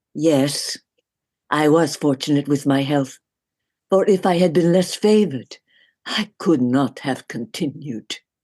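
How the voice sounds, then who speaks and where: A husky, low-to-middle put-on character voice moves at a fairly slow pace. Long, frequent pauses break up the speech. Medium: read story. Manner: urgent, halting.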